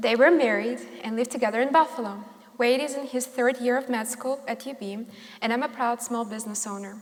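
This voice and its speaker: At a fairly quick pace, a woman speaks at a high pitch with fairly even intonation. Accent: Russian. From Russia. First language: Russian. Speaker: small business owner. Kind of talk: prepared speech reading.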